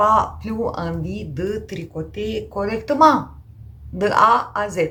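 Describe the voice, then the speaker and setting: A woman with a Romanian accent speaks amid audible room echo. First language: Romanian (speaking French). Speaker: knitting podcaster. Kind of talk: casual vlog chat. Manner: hesitant, many fillers.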